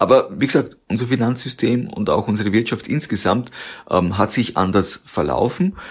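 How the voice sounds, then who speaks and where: A man at a medium pitch speaks at a fairly slow pace with very wide pitch swings, on a very clean recording with a silent background. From Austria, Waldviertel. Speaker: company founder. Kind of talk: interview.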